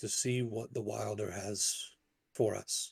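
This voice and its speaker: In a put-on character voice, a man speaks at a fairly slow pace and a medium pitch. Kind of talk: diplomatic council speech. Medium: actual play. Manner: deliberate, formal.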